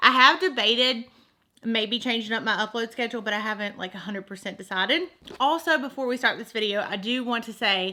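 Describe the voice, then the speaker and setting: A woman puts on a raspy character voice pitched fairly high. She moves at a fairly quick pace with big swings in loudness. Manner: talking really fast.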